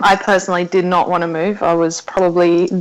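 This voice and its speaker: In an Australian accent, a woman talks at a moderate pace with a fairly low pitch. Her intonation is monotone and flat. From South Africa. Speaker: podcast guest. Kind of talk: casual interview.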